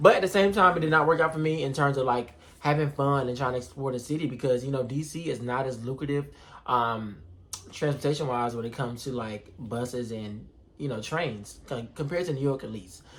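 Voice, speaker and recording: Speaking with an American accent, a man keeps a medium pitch and ordinary pitch variation. His pace is fairly quick. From North Carolina. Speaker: vlogger. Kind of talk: casual vlog storytelling. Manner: fast.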